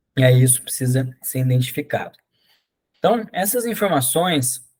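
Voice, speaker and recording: A man talks at a moderate pace, his fairly high voice somewhat breathy and his intonation lively. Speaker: agroforestry course instructor. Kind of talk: online lecture.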